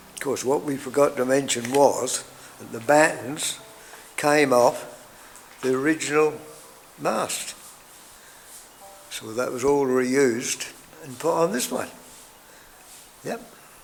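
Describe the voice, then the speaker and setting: This man speaks at a fairly slow pace with long, frequent pauses, his pitch fairly high and his intonation fairly even. Noticeable background noise runs under his voice. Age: 80s+. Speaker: shipwright. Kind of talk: documentary narration. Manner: casual, conversational.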